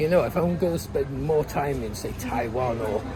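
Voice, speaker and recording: With crowd noise in the background, a man's voice comes through with audible room echo. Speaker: travel vlogger. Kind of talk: casual vlog narration. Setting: outdoors, travelling by ferry. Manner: chatty, informal.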